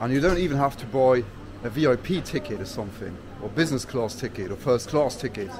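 A man talks at a moderate speed while background noise is noticeable. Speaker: travel vlogger. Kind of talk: casual vlog chat. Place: station. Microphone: phone near.

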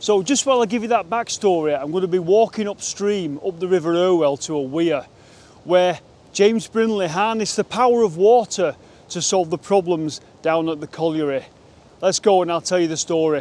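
A man with a high voice talks at a fairly quick pace, his pitch rising and falling in an ordinary way, in a dry recording with no echo. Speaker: presenter. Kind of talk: casual vlog chat. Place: waterside.

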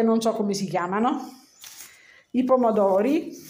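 Audible room echo surrounds this woman's voice. Her pitch varies in an ordinary way. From Milan, Italy. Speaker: home cooking video maker. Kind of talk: casual talk to camera. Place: home room. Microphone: phone near.

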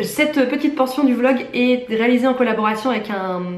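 A woman speaks at a high pitch with fairly even intonation. Audible room echo and noticeable background noise surround her voice. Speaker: vlogger and nurse. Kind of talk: casual vlog talk; sponsored product presentation.

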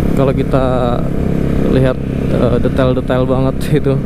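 A man's voice against loud background noise. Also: dry sound with no echo. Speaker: motovlogger. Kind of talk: casual vlog chat. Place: motorbike.

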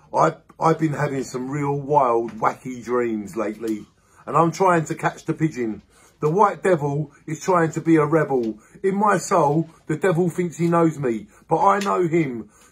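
This man's voice sits at a fairly high pitch and is somewhat breathy. His intonation is lively. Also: moderate pace. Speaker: amateur poet. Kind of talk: spoken-word poetry reading. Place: home room. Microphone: phone near.

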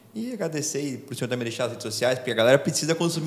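Words come at a very fast pace, the pitch varying in an ordinary way. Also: man. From Brazil. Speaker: podcast host, navy lieutenant; podcast host. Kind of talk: interview. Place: studio. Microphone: studio mic.

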